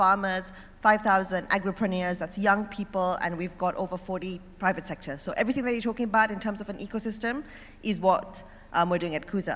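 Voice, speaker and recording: An animated, very fast delivery on a very clean recording with a silent background. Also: woman. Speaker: startup executive and panelist. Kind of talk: panel talk.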